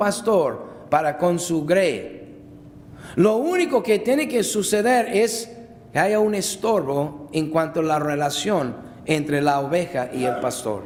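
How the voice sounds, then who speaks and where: A man at a very slow pace with lively intonation, amid noticeable background noise and audible room echo. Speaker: pastor. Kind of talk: sermon. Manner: loud, shouting at times.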